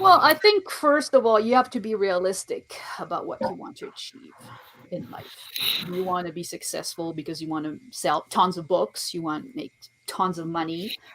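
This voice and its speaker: A woman with a French accent speaks at a medium pitch and a moderate pace. Her pitch swings very widely, and her loudness varies a lot. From France. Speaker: author and poet. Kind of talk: interview.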